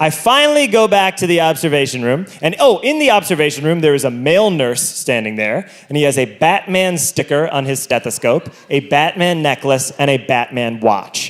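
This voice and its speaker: The clip carries noticeable background noise. The man in it speaks at a moderate pace. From Ireland. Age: 20s. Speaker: stand-up comedian. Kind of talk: stand-up. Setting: stage with audience.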